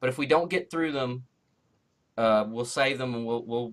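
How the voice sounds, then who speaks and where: This man speaks with a Southern accent. His pitch varies in an ordinary way. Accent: syrupy Southern-type. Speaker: comic book writer. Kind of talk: casual chat.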